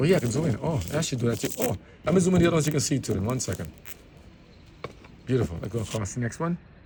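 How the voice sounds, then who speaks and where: A man mumbling at a very fast pace, very wide pitch swings, long and frequent pauses. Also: medium pitch for a man. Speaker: vlogger. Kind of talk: casual walking vlog commentary.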